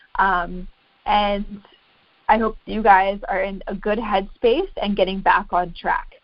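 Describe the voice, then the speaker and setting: Fairly slow, medium-pitched speech from a woman amid audible room echo. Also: ordinary pitch variation. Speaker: fitness coach. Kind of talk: group coaching call. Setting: conference call. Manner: stuttering, halting.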